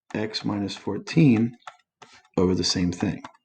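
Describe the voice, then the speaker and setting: Somewhat breathy, a man with a fairly low pitch speaks with lively intonation. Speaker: math teacher. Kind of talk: tutorial.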